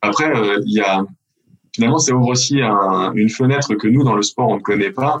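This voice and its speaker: His pitch rises and falls in a typical way. This man talks fairly quickly. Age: 40s. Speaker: retired pro basketball player, sports event organizer. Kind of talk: interview.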